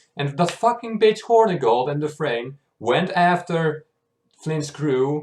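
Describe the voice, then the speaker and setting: Speaking with a non-native accent, a man with a fairly high pitch talks at a moderate pace, his pitch swinging very widely. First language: not English. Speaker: YouTube reactor. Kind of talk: casual recap monologue. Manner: hesitant, many fillers.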